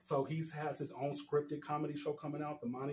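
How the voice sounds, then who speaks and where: Speaking at a very fast pace, a man has a fairly high pitch and a somewhat breathy sound. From Denver, Colorado, US. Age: 40s. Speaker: community activist. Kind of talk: interview conversation.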